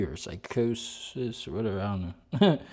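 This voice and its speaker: A man with an American accent speaks at a moderate pace in a dark, mellow tone. His pitch variation is ordinary. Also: very clean recording, silent background. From United States. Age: 40s. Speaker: vlogger. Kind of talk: casual vlog talk to camera. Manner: halting.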